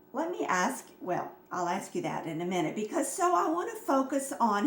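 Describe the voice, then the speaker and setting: Amid noticeable background noise and audible room echo, a woman at medium pitch speaks at a fairly slow pace. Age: 70s. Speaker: health products distributor. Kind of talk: informal health talk.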